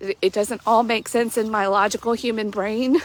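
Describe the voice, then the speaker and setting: A woman's voice with fairly high pitch. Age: 40s. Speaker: life coach. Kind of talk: devotional reflection. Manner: animated; hesitant fillers.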